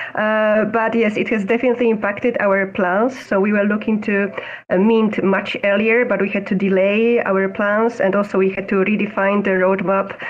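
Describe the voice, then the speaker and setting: Over noticeable background noise, a woman at medium pitch speaks at a moderate pace in a monotone, flat way, with very even loudness and hardly any pauses. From Poland. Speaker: NFT project founder. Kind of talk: casual chat.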